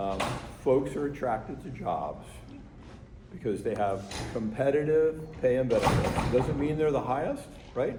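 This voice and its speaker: A man speaks at a moderate pace in a medium pitch, with ordinary pitch variation and long, frequent pauses. Noticeable background noise and audible room echo surround his voice. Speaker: fire chief. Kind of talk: community meeting Q&A. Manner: conversational, repetitive.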